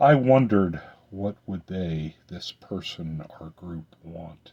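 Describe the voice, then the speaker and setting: A man speaks at a fairly slow pace in a put-on character voice with a very deep, low pitch. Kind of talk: fantasy poetry reading. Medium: solo performance.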